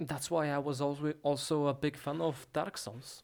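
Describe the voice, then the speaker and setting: This man talks softly at a moderate pace, his pitch fairly high. The recording is very clean, with a silent background. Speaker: ASMR artist. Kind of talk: ASMR soft-spoken talk about gaming. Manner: soft-spoken.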